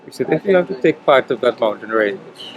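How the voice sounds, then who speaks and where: With noticeable background noise, a man speaks at a moderate pace with lively intonation. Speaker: hunger strike activist. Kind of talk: interview statement.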